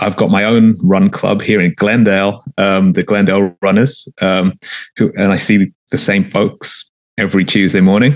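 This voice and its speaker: In a London accent, a man with a fairly low voice talks at a moderate pace with fairly even intonation. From London, England. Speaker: journalist, running club organizer. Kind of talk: podcast interview. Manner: hesitant, many fillers.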